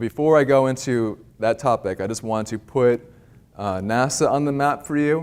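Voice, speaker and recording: With an American accent, a man talks at medium pitch and a fairly slow pace, showing ordinary pitch variation. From US Northeast, near Philadelphia. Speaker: climate scientist. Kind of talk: public lecture. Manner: casual, with frequent fillers and restarts.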